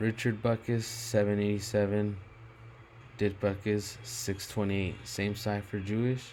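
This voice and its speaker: A man with a fairly low voice speaks in a room with audible echo. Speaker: gematria video commentator. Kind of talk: casual monologue over screen recording. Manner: slow; halting with many fillers.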